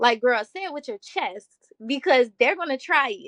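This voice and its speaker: A woman speaks with a Baltimore accent and very wide pitch swings. The sound is dry and close with no echo. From US, Baltimore. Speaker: mental health advocate, college student. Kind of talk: podcast interview. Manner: confident, assertive.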